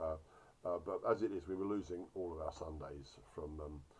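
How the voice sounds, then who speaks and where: Somewhat breathy, a man's voice moves along at a fairly quick pace. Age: 60s. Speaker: orchard grower; doctor. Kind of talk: casual talk to camera.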